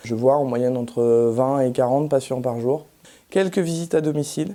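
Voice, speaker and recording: A woman's voice has a dark, mellow tone and ordinary pitch variation. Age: 30s. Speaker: rural general practitioner. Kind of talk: interview testimony. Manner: hesitant, many fillers.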